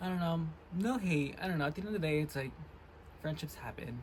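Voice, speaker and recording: The speech is quiet and comes at a very fast pace. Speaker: vlogger. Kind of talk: casual chat. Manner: low energy.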